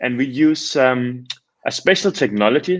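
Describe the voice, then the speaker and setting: Here a man speaks with a Danish accent. His medium-pitched voice shows ordinary pitch variation. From Denmark. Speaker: startup founder. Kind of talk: casual interview.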